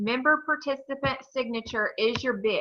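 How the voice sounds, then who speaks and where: A woman's raised, projected voice in an American accent, bright and sharp in tone, high-pitched, at a fairly slow pace. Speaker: real estate broker teaching a forms class. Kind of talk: training class.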